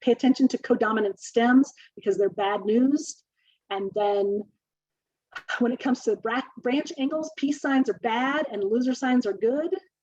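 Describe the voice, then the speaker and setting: A woman's high voice with ordinary pitch variation. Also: dry, close sound with no echo. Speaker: urban horticulture extension specialist. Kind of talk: webinar lecture. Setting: online webinar.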